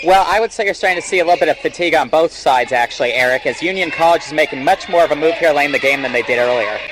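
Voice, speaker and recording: Amid noticeable background noise, a man rattles along at a very fast pace in a fairly high voice. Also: ordinary pitch variation, hardly any pauses. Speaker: radio sports color commentator. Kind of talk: live radio sports color commentary.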